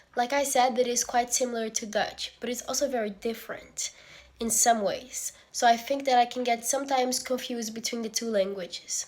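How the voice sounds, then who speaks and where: A woman with a high voice and a Portuguese accent talks at a fairly quick pace with fairly even intonation. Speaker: university student. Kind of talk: student video presentation.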